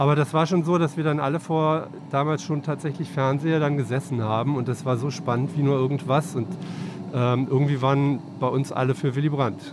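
A man's fairly high voice with fairly even intonation, against noticeable background noise. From Cologne, western Germany. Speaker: newspaper editor-in-chief. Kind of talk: casual interview. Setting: on a moving S-Bahn train.

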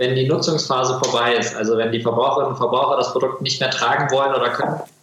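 Medium in pitch, a man talks at a very fast pace. Noticeable background noise runs beneath him. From Germany, Kassel. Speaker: textile company founder. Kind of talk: interview. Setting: video call.

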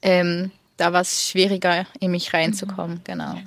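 Her pitch is medium. The woman keeps a moderate pace. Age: 30s. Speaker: photographer. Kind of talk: interview. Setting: in person on a retreat in southern France.

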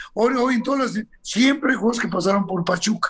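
At a fairly quick pace, a man speaks in a high pitch with ordinary pitch variation. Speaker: football talent scout. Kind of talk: interview storytelling.

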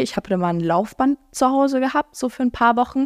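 A woman talks at a very fast pace in an animated tone. The sound is dry and close with no echo, in a very clean recording with a silent background. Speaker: podcast host and social media creator. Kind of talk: casual solo chat answering listener questions.

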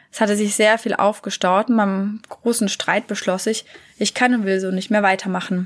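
A woman speaks at a moderate pace in a monotone, flat intonation. The sound is dry and close, with no echo. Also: medium pitch for a woman. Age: 30s. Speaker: parenting coach. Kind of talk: solo podcast monologue.

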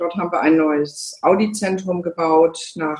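Fairly low female speech, its intonation fairly even. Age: 50s. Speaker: car dealership managing director. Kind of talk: interview. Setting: video call.

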